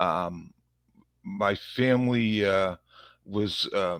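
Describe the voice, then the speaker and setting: A man's fairly low voice, dry and close with no echo, on a very clean recording with a silent background. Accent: Boston. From Massachusetts, Revere near Boston. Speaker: police officer. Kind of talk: interview conversation.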